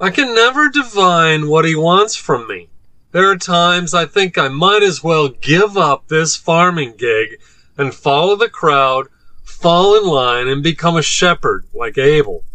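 Using a put-on character voice, the speaker whines with lively intonation at a moderate pace. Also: man, high pitch for a man. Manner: whiny, petulant, self-pitying.

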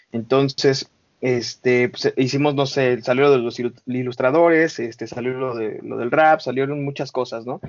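A man with a normal speaking voice, medium pitch, fairly even intonation and a fairly slow pace. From Mexico, Estado de México (Coacalco). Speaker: founder of an independent music media outlet. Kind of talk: podcast interview.

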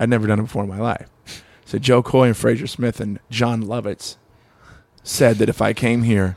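A man with an American accent speaks at a fairly quick pace at a medium pitch, with fairly even intonation. It is a normal speaking voice. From Long Beach, California. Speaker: comedian. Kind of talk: casual chat.

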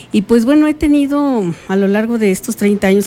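A woman's pitch varies in an ordinary way, and noticeable background noise can be heard. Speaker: journalist. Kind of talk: interview. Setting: recorded interview.

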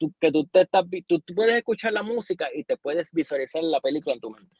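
This man's pitch moves through very wide swings. His pace is fairly quick. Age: 30s. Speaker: podcast co-host. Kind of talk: casual chat.

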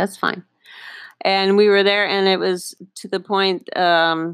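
A woman talks at a moderate pace. She has a Northern Ontario accent. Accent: Canadian (Northern Ontario). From Northern Ontario, Canada. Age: 50s. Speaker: podcast host, small business owner. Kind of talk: personal storytelling monologue. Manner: halting, many fillers.

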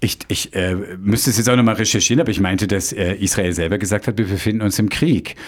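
His pitch sits fairly low. The man talks very fast. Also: ordinary pitch variation, very even loudness. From Munich, Bavaria. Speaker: pastor and podcast host. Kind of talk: casual chat. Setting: studio.

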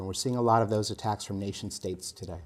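A man of medium pitch has an unremarkable speaking voice and fairly even intonation. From USA. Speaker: security executive. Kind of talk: interview.

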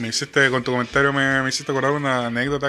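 A man with a Chilean accent speaks at a fairly high pitch with fairly even intonation over noticeable background noise. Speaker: podcast co-host. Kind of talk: casual chat about music.

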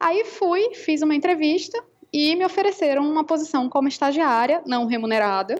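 A woman speaks at a high pitch and a moderate pace. Her pitch swings very widely. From Brazil. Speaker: law professor and researcher. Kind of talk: interview.

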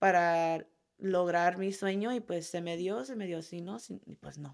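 A woman speaks in an unremarkable speaking voice at medium pitch. Her pitch variation is ordinary, and the recording is very clean with a silent background. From California, US (Oxnard). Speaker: professional footballer. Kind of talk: interview.

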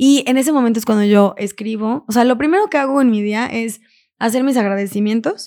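A woman's fairly high voice at a fairly quick pace, with ordinary pitch variation, on a very clean recording with a silent background. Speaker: entrepreneur and podcaster. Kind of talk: casual interview. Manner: talkative.

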